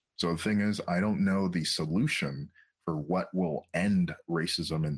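A man with a very deep, low pitch and ordinary pitch variation. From Quebec. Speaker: psychotherapist. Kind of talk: interview.

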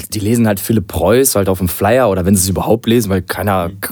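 A man speaks at a fairly quick pace and fairly low pitch, his dark, mellow tone keeping fairly even intonation. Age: 20s. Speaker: DJ. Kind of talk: casual chat.

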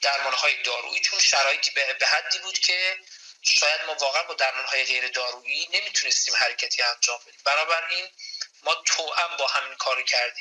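A man talks at a fairly quick pace with big swings in loudness, against noticeable background noise. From Iran, Yazd. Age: 40s. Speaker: stress consultant and psychologist. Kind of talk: interview. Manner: formal.

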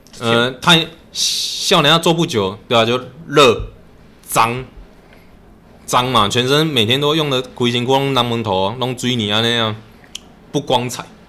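With noticeable background noise behind him, a man speaks at a fairly slow pace and a medium pitch, using ordinary pitch variation and long, frequent pauses. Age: 30s. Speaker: masonry worker. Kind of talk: casual chat.

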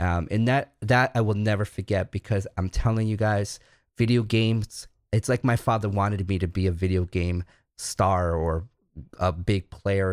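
With an American accent, a man speaks in an energetic tone at a fairly low pitch, recorded very cleanly against a silent background with a dry, close sound and no echo. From New York City. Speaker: gamer, streamer and tournament host. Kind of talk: interview. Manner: animated.

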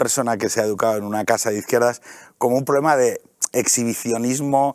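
A man with an unremarkable speaking voice at a fairly quick pace. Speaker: podcaster and author. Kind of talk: casual talk show interview. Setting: TV studio.

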